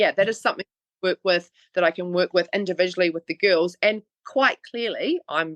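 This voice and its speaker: A woman in a New Zealand accent speaks at a moderate pace and medium pitch with ordinary pitch variation, the sound dry and close with no echo. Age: 40s. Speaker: online fitness trainer. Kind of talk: interview. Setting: podcast.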